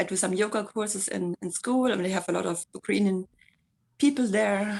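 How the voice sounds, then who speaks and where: A woman with a German accent speaks at a moderate pace and a medium pitch, with ordinary pitch variation. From Germany. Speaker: community volunteer. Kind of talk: casual chat. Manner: halting.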